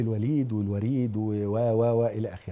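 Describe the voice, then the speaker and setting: This is a man with an Egyptian accent. His tone is dark and mellow. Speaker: lecturer on family and marriage; TV lecturer on family life. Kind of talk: religious lecture to an audience. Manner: animated. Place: studio. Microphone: lapel.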